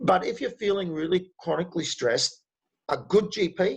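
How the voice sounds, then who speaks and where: A man with an Australian accent. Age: 60s. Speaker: speaker on men's health and stress. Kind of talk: online talk with Q&A.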